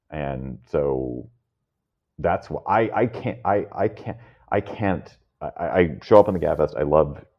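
Speaking with an American accent, a man uses a very deep, low pitch, vocal fry and lively intonation. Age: 50s. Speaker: podcast host and media founder. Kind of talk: casual chat.

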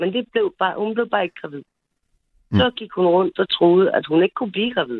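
A woman's medium-pitched voice rises and falls in a lively way as she talks at a fairly quick pace. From Copenhagen (Frederiksberg). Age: 40s. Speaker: caller. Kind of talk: personal story on call-in radio. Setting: phone call. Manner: halting.

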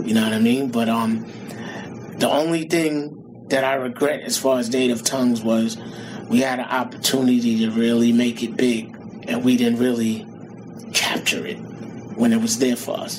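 With a New York accent, a man speaks at a medium pitch and a moderate pace, using fairly even intonation and long, frequent pauses. Noticeable background noise and audible room echo surround his voice. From Queens, New York. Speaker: rapper. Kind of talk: interview.

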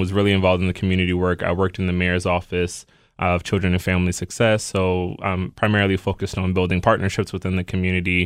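A very fast American-accented man with a very deep, low pitch, in a very clean recording with a silent background. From Baltimore, Maryland. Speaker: nonprofit deputy director. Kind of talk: radio interview.

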